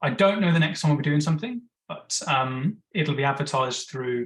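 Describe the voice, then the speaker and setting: Ordinary pitch variation from a man with an Australian accent. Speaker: webinar presenter on bees. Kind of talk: webinar Q&A. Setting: online webinar. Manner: fast.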